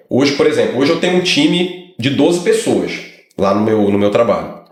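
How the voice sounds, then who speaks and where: In a strong Brazilian accent, a man with a fairly high voice speaks at a moderate pace, his pitch swinging very widely and his loudness very even, with audible room echo. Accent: heavy Brazilian accent in English. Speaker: lawyer. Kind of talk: casual chat.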